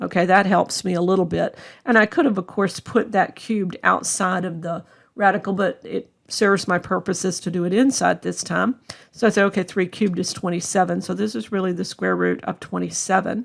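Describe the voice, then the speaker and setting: A woman talks at a fairly quick pace with medium pitch, ordinary pitch variation and vocal fry. The recording is very clean, the background silent. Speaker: math instructor. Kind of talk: lecture.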